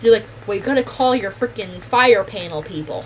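A woman talks fairly quickly while noticeable background noise carries on. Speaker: podcast co-host. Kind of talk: casual chat. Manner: joking, swearing.

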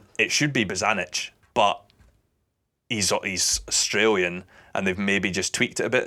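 With a Scottish accent and a bright, sharp tone, a man speaks at a moderate pace and fairly low pitch, with ordinary pitch variation and long, frequent pauses, on a very clean recording with a silent background. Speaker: football commentator. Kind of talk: casual interview chat.

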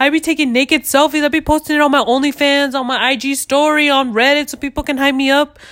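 Loud and animated, the voice races along at a very fast pace with hardly any pauses. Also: woman, high pitch for a woman. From US, Mexican-American family. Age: 20s. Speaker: podcast host. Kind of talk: casual solo chat, rant. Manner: loud, talkative, animated.

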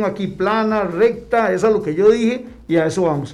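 Audible room echo frames a man's dark, mellow tone. He keeps a moderate pace with ordinary pitch variation. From Costa Rica, Heredia. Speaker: former footballer. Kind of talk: casual chat.

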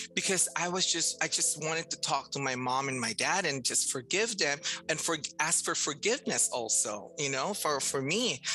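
Clear background noise can be heard throughout. The voice moves at a moderate pace with lively intonation. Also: woman, very deep, low pitch for a woman. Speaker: transgender health program manager. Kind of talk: casual chat.

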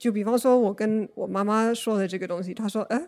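On a very clean recording with a silent background, a woman with an English accent talks at a fairly quick pace with fairly even intonation. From US, Oregon. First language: English (speaking Chinese). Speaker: podcast guest sharing mental health experience. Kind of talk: casual conversational interview. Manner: halting, with frequent fillers.

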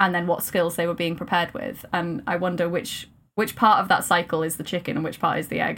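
In a Welsh accent, a woman with a fairly low pitch talks at a very fast pace with ordinary pitch variation. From Wales. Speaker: maths PhD student and science communicator. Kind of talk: casual chat.

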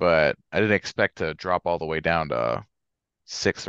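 With vocal fry and an American accent, the speaker goes at a moderate pace with ordinary pitch variation, recorded dry and close with no echo against a quiet background. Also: man. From Georgia, later northern US. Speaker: sports podcast co-host. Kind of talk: casual chat.

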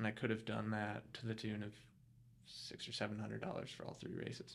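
A man with a fairly low pitch. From US, Colorado Springs. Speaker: ultra runner. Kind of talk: casual interview chat. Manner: halting, many fillers.

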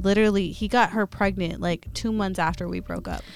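Music plays behind a woman who talks at a moderate pace. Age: 20s. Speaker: single mother. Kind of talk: casual chat.

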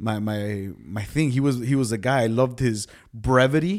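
In a very clean recording with a silent background, a man with a medium pitch talks at a moderate pace. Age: 30s. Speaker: pastor and podcast co-host. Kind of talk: casual chat.

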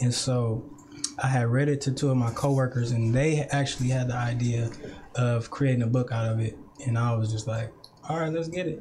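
Noticeable background noise accompanies a man who speaks at a fairly quick pace and medium pitch, with fairly even intonation. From Richmond, California (Bay Area). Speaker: poet and youth worker. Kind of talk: casual interview.

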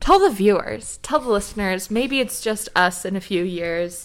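Speaking at a fairly slow pace with ordinary pitch variation, a woman with a medium-pitched voice comes through on a very clean recording with a silent background. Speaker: podcast co-host. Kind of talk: casual chat. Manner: polished radio-style delivery.

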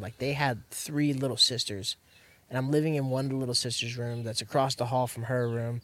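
With an American accent, a man speaks in a plain, everyday voice at a medium pitch and a fairly quick pace. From Central Florida. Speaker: entrepreneur in addiction recovery. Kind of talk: casual chat. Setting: outdoors.

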